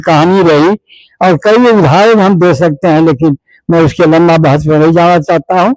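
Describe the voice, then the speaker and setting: A man talks at a high pitch, with ordinary pitch variation. His voice sounds dry and close, without any echo. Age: 80s+. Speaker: politician. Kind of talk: interview.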